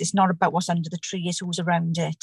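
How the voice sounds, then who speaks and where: The somewhat breathy voice has a dry, close sound with no echo. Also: woman. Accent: South Wales. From Caerphilly, Wales. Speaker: COVID patient, new mother. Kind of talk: testimony, emotional personal story.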